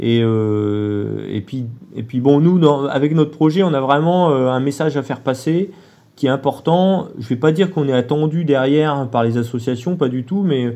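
A man's fairly high voice moves at a fairly slow pace, its pitch varying in an ordinary way. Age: 40s. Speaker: long-distance cyclist. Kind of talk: interview. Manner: halting.

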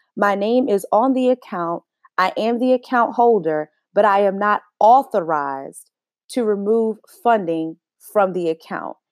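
A woman with an American accent, medium pitch and lively intonation speaks at a fairly slow pace in a plain, everyday voice. The sound is dry and close with no echo. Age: 20s. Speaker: podcast host. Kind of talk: solo monologue.

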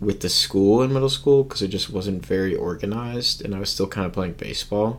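Lively in his intonation, a man with an American accent talks at a fairly quick pace. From US, Washington D.C. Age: 20s. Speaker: college student, ultimate frisbee player. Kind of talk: casual chat.

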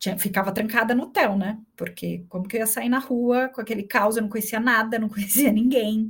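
A woman's somewhat breathy, fairly high voice moves at a fairly quick pace with hardly any pauses and fairly even intonation. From Brazil, São Paulo city. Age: 30s. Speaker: executive director of an education foundation. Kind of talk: casual interview chat.

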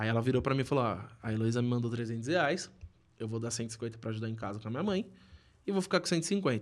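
Medium in pitch, a man talks at a fairly quick pace. His pitch variation is ordinary. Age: 20s. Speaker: small business owner. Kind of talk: casual chat.

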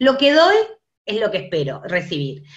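Moderate-paced speech from a woman, fairly high in pitch. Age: 50s. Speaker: guest. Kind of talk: casual chat.

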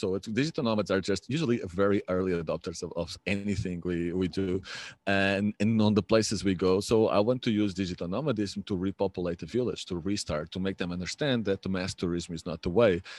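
A man with a Portuguese accent speaks fairly quickly, with hardly any pauses, a fairly low pitch and ordinary pitch variation. The sound is dry and close with no echo, over a quiet background. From Portugal, Lisbon. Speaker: remote work advocate and community builder. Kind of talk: interview.

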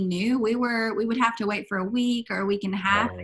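A woman with an American accent uses an ordinary speaking voice at a fairly high pitch and a moderate pace. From US South, East Arkansas. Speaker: long-distance hiker. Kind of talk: interview.

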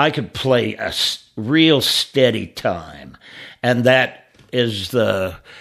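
A man's medium-pitched voice with a bright, sharp tone, vocal fry and lively intonation, on a very clean recording with a silent background. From Alton area, US. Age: 70s. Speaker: drummer. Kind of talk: casual chat. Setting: studio.

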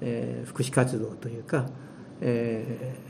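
Audible echo fills the room. Noticeable background noise runs underneath. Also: man. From Hiroshima, Japan. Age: 70s. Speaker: retired volunteer tour guide. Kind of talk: interview.

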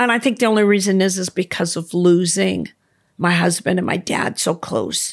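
Speaking at a moderate pace with an American accent, a woman has an ordinary speaking voice, medium pitch and ordinary pitch variation. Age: 60s. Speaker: swim instructor. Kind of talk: casual chat.

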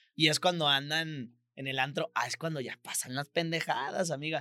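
In a dry, close recording with no echo, a man with a Mexican accent speaks at a fairly slow pace in a bright, sharp tone. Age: 20s. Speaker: comedy podcast host. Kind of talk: casual comedic chat. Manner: animated.

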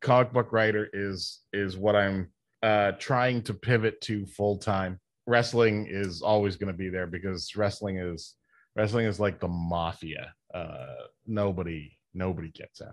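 Over a quiet background, an unremarkable speaking voice moves at a fairly slow pace with fairly even intonation. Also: man, fairly low pitch for a man. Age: 50s. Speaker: pro wrestler and comic book writer. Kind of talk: casual interview chat.

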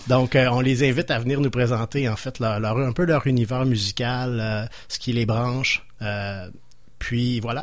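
A man with a Quebec accent, medium pitch, fairly even intonation and a fairly slow pace. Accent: Québécois French. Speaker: radio host. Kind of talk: radio show hosting. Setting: radio studio. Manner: halting, many repetitions.

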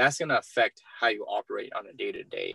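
Over a quiet background, a man is speaking. His pace is moderate. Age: 20s. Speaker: entrepreneur and real estate investor. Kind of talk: interview.

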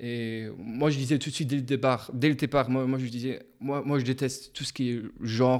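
A man at medium pitch with monotone, flat intonation and a moderate pace, on a very clean recording with a silent background. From Luxembourg. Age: 20s. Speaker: psychology student and podcaster. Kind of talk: casual interview.

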